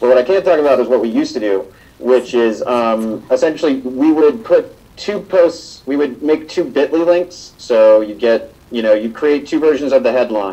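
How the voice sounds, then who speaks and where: With an unremarkable speaking voice, a man talks at a moderate pace in a medium pitch with lively intonation. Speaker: social media campaigner. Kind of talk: panel presentation. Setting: live event with audience.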